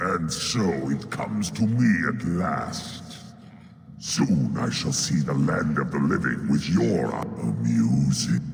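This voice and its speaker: Speaking at a fairly slow pace in a put-on character voice, a man is heard over clear background noise with a clear echo. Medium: game stream. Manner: solemn, cryptic.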